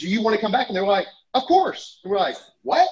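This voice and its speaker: A man in an Alabama accent at a fairly quick pace, with very wide pitch swings. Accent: Southern US (Alabama). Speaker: software company CEO. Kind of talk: interview conversation. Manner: animated; fast, talkative.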